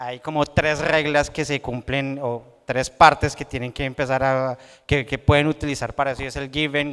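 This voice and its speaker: Loud and fairly high-pitched, a man speaks at a fairly slow pace in a monotone, flat intonation with a bright, sharp tone, on a very clean recording with a silent background. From Colombia, Bogotá. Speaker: software developer and conference speaker. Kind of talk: tech conference talk.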